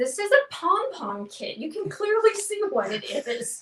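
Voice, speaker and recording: Her pitch swings very widely as the woman talks in an American accent. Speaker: painting class instructor. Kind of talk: live painting tutorial; casual chat. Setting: livestream. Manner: halting, many fillers.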